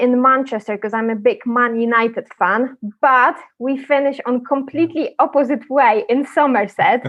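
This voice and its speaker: A woman speaks with a Polish accent. Her pitch is high and her pace moderate. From Poland. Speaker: property sourcing agent. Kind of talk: podcast interview.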